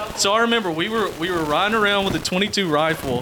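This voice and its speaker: Noticeable background noise sits behind a man with a Southern US accent. He talks at a moderate pace with lively intonation. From US South, Georgia. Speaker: podcast guest. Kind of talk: casual chat.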